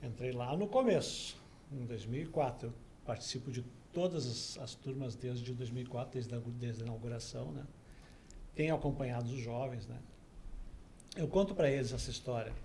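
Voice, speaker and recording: A man speaks at a moderate pace with long, frequent pauses. His medium pitch shows ordinary variation, and room echo is audible. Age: 60s. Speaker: volunteer teacher. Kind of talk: interview conversation.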